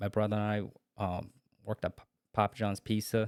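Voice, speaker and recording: A man speaks. The sound is dry and close, with no echo. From China, moved to US at eleven. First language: Chinese. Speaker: Marine veteran and police officer. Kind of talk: casual interview. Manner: halting.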